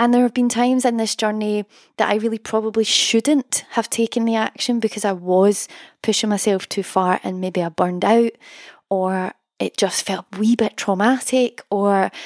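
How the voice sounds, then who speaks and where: In a Scottish accent, a woman with a fairly high voice speaks with fairly even intonation on a very clean recording with a silent background. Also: dry, close sound with no echo. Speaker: songwriting coach and podcast host. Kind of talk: solo podcast monologue, motivational talk.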